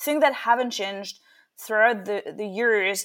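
With a French accent, a woman talks at a fairly high pitch with ordinary pitch variation. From France. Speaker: startup founder and CEO. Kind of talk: interview. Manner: halting with many fillers.

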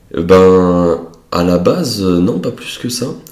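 There is audible room echo and noticeable background noise as a man talks in a very deep, low voice. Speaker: wealth management advisor, entrepreneur. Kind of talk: casual interview.

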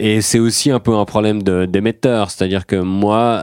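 Fairly low-pitched man at a fairly slow pace, with fairly even intonation, in a dry, close sound with no echo, on a very clean recording with a silent background. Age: 30s. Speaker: comedian. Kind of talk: casual chat.

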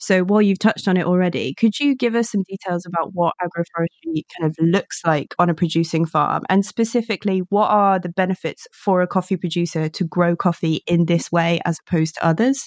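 With a normal speaking voice, a woman of fairly low pitch talks at a fairly quick clip with hardly any pauses and ordinary pitch variation, in a dry, close sound with no echo. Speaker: podcast host. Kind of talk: casual interview. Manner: friendly, upbeat.

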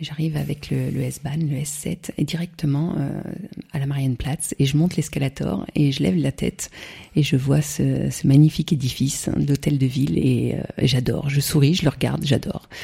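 A woman's very deep, low pitch carries a dark, mellow tone and vocal fry. She keeps a moderate pace with fairly even intonation. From France, Burgundy (Morvan). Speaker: champagne entrepreneur. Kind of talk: interview. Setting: countryside, in person.

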